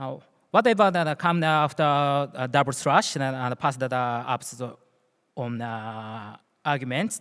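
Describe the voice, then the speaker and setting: A man speaks at a fairly slow pace. He has a Japanese accent. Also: medium pitch for a man, ordinary pitch variation, very clean recording, silent background. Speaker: security engineer. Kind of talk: conference talk. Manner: halting.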